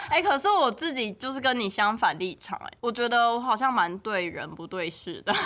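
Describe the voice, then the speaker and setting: A woman with a fairly high pitch talks at a fairly quick pace with hardly any pauses. Her pitch swings very widely and her loudness rises and falls a lot over noticeable background noise. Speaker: podcast co-host. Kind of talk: casual chat.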